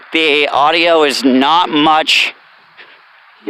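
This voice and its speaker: Bright and sharp, a man's voice comes through. His intonation stays fairly even. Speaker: vlogger, former military drill instructor. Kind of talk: casual vlog monologue while walking. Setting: outdoors on a walk. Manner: casual, rambling with fillers.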